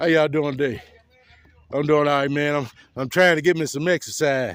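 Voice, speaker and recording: His pitch sits fairly high for a man. The man talks at a fairly quick pace with fairly even intonation. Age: 60s. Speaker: vlogger. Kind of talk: casual chat. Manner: halting.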